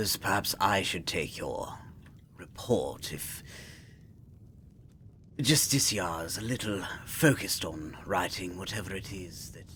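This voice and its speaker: A man speaks in a put-on character voice, fairly low-pitched and at a fairly slow pace. Long pauses come often, and background noise is clearly audible. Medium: role play.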